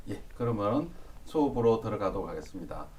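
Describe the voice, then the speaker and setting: There is audible room echo as a man speaks with a slight Busan accent. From South Korea, Busan. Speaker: university professor. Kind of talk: lecture.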